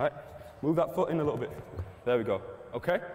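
Speaking fast with lively intonation, a man uses a fairly high voice of slightly mellow tone.

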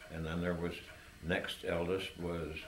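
An American-accented man speaks in a very deep, low voice with a relaxed tone at a fairly slow pace. Audible room echo and light background noise are present. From Hector, New York, USA. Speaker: oral history interviewee, lifelong local resident. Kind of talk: oral history interview answer. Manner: relaxed, reminiscing. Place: home room. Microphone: camera far.

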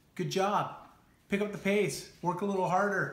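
With a Canadian accent, a man speaks in an upbeat tone at a moderate pace, and the room echo is audible. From Canada. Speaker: lifestyle mentor, personal trainer. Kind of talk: casual unboxing talk to camera. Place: home room. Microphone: phone near.

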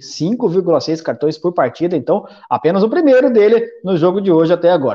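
A man with a Brazilian accent speaks in a high pitch with a dark, mellow tone. His pace is moderate, and the background is quiet. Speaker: sports betting live commentator. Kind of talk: live sports commentary. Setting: online livestream. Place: home room. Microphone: headset.

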